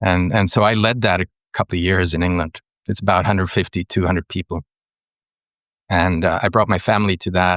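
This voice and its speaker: Against a quiet background with a dry, close sound and no echo, a man with a Swedish accent speaks at a fairly quick pace in a very deep, low pitch, with fairly even intonation and long, frequent pauses. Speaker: writer and ecologist, mentor. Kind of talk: podcast interview. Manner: hesitant, with many fillers.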